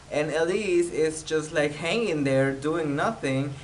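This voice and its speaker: A man with a Spanish accent speaks at a fairly high pitch. Audible room echo and noticeable background noise surround him. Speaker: YouTuber, TV show recapper. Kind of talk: casual TV recap vlog. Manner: hesitant, many fillers.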